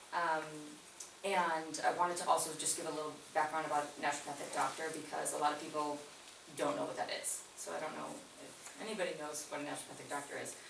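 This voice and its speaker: A woman's very deep, low voice shows big swings in loudness. Audible room echo and noticeable background noise surround it. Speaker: naturopathic doctor presenting a business proposal. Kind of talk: community meeting presentation. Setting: community meeting room with audience. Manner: soft-spoken; hesitant, many fillers. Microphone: too quiet for audience.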